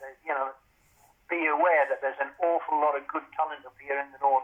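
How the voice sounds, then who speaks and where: A man with a Geordie accent talks fast-ish at a fairly high pitch, his intonation flat and monotone but his loudness swinging widely. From Newcastle, northern England. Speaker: author and former police officer. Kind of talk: casual chat.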